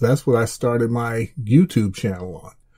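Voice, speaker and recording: A somewhat breathy man's voice with a dark, mellow tone, an American accent and a fairly slow pace. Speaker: podcast host. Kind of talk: unscripted rant. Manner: halting, repeated words.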